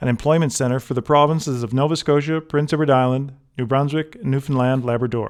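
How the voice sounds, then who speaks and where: Here a man talks at a fairly quick pace and a medium pitch with fairly even intonation. The recording is very clean, with a silent background. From Halifax, Nova Scotia, Canada. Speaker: historian and tour guide narrator. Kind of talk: documentary travel narration.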